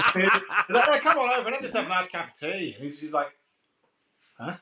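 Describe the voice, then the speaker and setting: A man speaks in a raised, projected voice, his pitch swinging very widely. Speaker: podcast guest. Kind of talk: casual chat.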